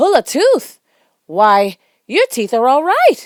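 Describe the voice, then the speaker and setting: In a put-on character voice, a woman projects at a high pitch with very wide pitch swings and a raised voice, moving at a fairly slow pace. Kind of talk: bedtime story. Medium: read story.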